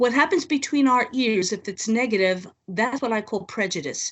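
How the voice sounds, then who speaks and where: Here is a woman with an American accent and an unremarkable speaking voice. Her pitch sits fairly high, and her intonation is lively. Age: 60s. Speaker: social gerontologist. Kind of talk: interview.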